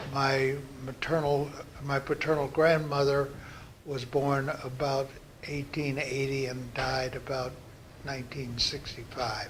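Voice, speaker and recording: A man with an American accent and a fairly high pitch talks at a fairly slow pace in a monotone, flat intonation, with long, frequent pauses, audible room echo and noticeable background noise. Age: 80s+. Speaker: interviewee recounting family history. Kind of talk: oral history interview. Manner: halting, frequent fillers and restarts.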